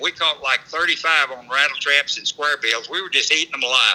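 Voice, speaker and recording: There is noticeable background noise as a man with a high pitch speaks in a dry, close sound with no echo. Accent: American. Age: 80s+. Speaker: fishing guide. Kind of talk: casual chat.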